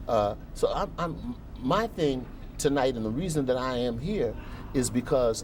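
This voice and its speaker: A man talks at a fairly slow pace. Room echo is audible, and background noise is noticeable. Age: 60s. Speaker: actor and performer. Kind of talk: TV interview.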